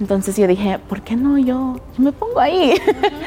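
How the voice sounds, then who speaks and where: Noticeable background noise runs behind a woman who talks at a fairly slow pace. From US, Denver, Colorado. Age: 20s. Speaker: professional model. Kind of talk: casual interview.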